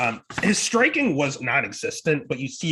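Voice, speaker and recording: A loud man with a bright, sharp tone and lively intonation. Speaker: MMA betting podcast host. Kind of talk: casual podcast fight picks.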